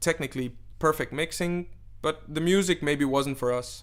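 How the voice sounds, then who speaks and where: A Danish accent comes through on a very clean recording with a silent background. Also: man. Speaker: DJ and event organizer. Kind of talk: interview.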